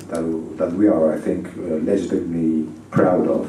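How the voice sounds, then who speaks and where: There is audible room echo as a man with a Spanish accent speaks at a moderate pace in a very deep, low voice. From Spain. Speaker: ambassador. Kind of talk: conference speech. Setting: conference audience. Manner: hesitant, many fillers.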